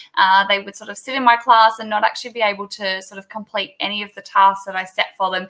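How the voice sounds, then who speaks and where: Speaking at a very fast pace with hardly any pauses, a woman with an Australian accent uses a medium pitch and a monotone, flat intonation. Her loudness swings widely from moment to moment. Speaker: teacher. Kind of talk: video call interview.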